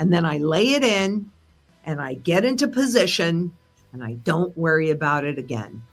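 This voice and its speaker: Music plays behind a woman speaking at a moderate pace in a fairly low pitch. Her voice shows very wide pitch swings and big swings in loudness. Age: 70s. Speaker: precious metals analyst. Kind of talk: interview. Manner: casual, with fillers.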